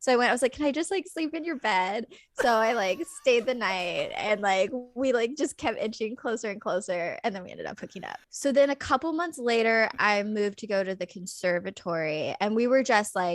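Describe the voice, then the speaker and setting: Big swings in loudness mark a fairly quick delivery in an American accent. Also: woman, fairly high pitch for a woman, lively intonation. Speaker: actress. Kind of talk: casual chat.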